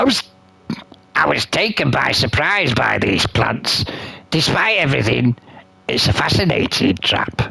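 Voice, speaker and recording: He uses a put-on character voice at a moderate pace, with very even loudness. The man leaves long, frequent pauses. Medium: solo performance. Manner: teasing, slightly stammering.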